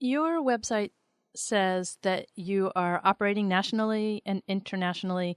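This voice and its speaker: At a moderate pace and medium pitch, a woman with an American accent speaks in an unremarkable speaking voice, the sound dry and close with no echo in a very clean recording with a silent background. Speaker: podcast host. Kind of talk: interview.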